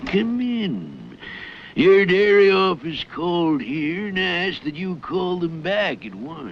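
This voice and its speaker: Using a cartoonish character voice, a man speaks at a fairly slow pace in a high pitch with lively intonation and big swings in loudness, over clear background noise. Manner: gloating, commanding.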